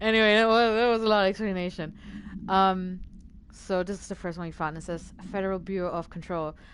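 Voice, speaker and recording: A woman with a non-native accent talks at a fairly quick pace. Her medium pitch holds fairly even intonation against a quiet background. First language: not English. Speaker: video game streamer. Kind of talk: casual live-stream commentary. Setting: live stream. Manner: hesitant, many fillers.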